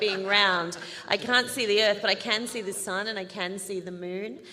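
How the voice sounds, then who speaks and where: Someone with an Australian accent talks at a fairly quick pace amid noticeable background noise. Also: woman. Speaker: game contestant. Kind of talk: game show answers.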